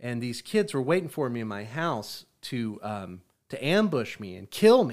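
A man's medium-pitched voice with very wide pitch swings, in a very clean recording with a silent background. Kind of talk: radio DJ patter, promo-style station plugging with jokey ad-libs. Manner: playful, teasing, upbeat showman delivery with mock-announcer flourishes and laughs.

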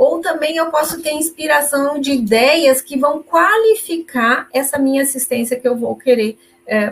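A woman talks at a fairly slow pace. Her pitch is high and her intonation lively. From southern Brazil, Caxias do Sul (Rio Grande do Sul). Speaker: volunteer teacher of consciousness studies. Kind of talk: live-stream lecture and Q&A.

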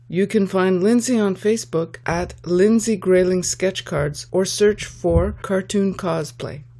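A woman's normal speaking voice, medium in pitch, fairly slow with hardly any pauses and ordinary pitch variation. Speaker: podcast host, artist. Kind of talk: casual interview.

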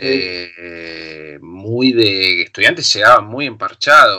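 A man is speaking. He has a Rioplatense accent. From Argentina, La Plata. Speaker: film director. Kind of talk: casual chat.

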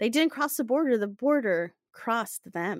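In a plain, everyday voice, a woman speaks at a fairly high pitch and moderate pace with lively intonation. The recording is very clean, with a silent background and a dry, close sound with no echo. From Latin America, outside the US. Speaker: podcast host. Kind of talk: scripted narration; casual chat.

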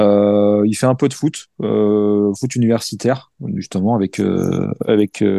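A dark, mellow tone, dry and close with no echo. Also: man. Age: 40s. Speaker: firefighter and ultra-distance cyclist. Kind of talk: casual interview. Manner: hesitant, many fillers.

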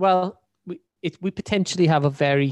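Against a quiet background, a man with a Welsh accent talks at a moderate pace with ordinary pitch variation, his sound dry and close with no echo. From Wales. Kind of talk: casual banter.

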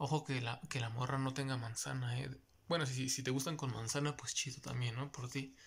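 At a moderate pace, a man speaks with monotone, flat intonation at a medium pitch. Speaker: podcast co-host. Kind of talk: casual chat. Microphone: new mic, louder than before.

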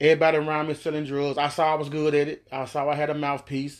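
With an American accent, a man talks at a very fast pace and a fairly high pitch. His intonation is monotone and flat, over a quiet background. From Miami, Florida. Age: 40s. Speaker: former rapper. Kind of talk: interview.

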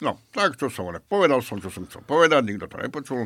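On a very clean recording with total silence behind him, a man talks fairly quickly. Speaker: beer taster. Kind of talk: casual chat.

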